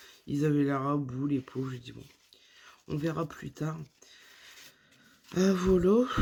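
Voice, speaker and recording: A woman speaks very slowly in a very deep, low voice with a dark, mellow tone. Her pitch varies in an ordinary way, her loudness swings widely, and she leaves long, frequent pauses. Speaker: vlogger. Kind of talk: casual vlog talk to camera.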